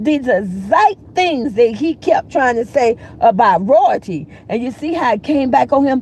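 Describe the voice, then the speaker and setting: Over noticeable background noise, a woman with an American accent speaks fairly slowly in a high, animated voice with very wide pitch swings. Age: 60s. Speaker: YouTuber commentator. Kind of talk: livestream commentary rant. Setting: YouTube livestream. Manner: animated, heated.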